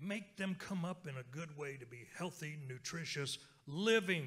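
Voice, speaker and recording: The speaker has an American accent, a bright, sharp tone and lively intonation at a fairly slow pace. The background is quiet. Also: man. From Oklahoma, Lenape (Delaware Tribe) community; Oklahoma. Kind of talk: keynote talk on stage. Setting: stage with audience. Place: hall. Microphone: handheld.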